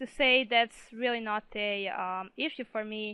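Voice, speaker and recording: Speaking with a non-native accent, this woman has a fairly high pitch. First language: not English. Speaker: gaming video creator. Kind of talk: interview. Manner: hesitant, many fillers.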